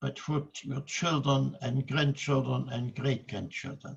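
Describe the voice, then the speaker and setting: A man speaks at a very slow pace in a fairly high voice. Vocal fry runs through his speech. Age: 100. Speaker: Holocaust survivor, author, guest speaker. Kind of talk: oration / public speech to an audience.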